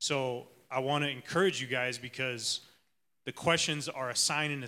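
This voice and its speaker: Using fairly even intonation and a bright, sharp tone, a man with an American accent speaks at a medium pitch and a moderate pace. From Arizona. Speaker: church leader. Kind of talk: sermon.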